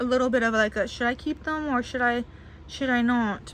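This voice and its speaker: High-pitched woman talking at a fairly quick pace, ordinary pitch variation, noticeable background noise. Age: 20s. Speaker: doll collector and video creator. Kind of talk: casual haul video monologue.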